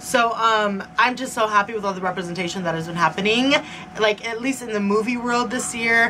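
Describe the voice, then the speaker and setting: A woman at a very fast pace against noticeable background noise. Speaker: movie and book reviewer. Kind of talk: casual video review. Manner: chatty, lots of fillers.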